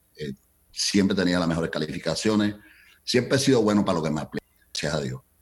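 Speaking very fast but with long, frequent pauses, a man with a very deep, low pitch and vocal fry uses lively intonation. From Colombia. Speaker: entertainment business founder. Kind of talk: interview.

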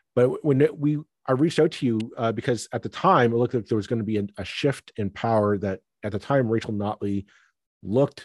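A man's ordinary speaking voice with a Canadian accent, medium pitch, ordinary pitch variation and a moderate pace over a quiet background. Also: dry, close sound with no echo. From Toronto suburbs, Ontario, Canada. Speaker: podcast host. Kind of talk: casual political discussion.

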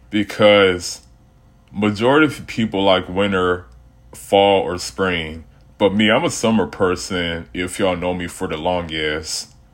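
At a fairly slow pace, a man speaks in an unremarkable speaking voice, fairly low in pitch with ordinary pitch variation. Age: 20s. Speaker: podcast host. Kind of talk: casual solo monologue. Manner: casual, rambling conversational.

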